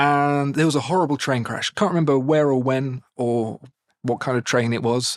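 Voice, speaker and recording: A man with a British accent speaks at medium pitch and a moderate pace. His intonation is fairly even, and the recording is very clean with a silent background. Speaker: watch video presenter and voiceover artist. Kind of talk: interview answer, spontaneous storytelling.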